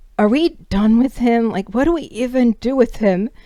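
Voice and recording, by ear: In a put-on character voice, a woman sounds croaky at a fairly high pitch. She keeps a moderate pace and ordinary pitch variation.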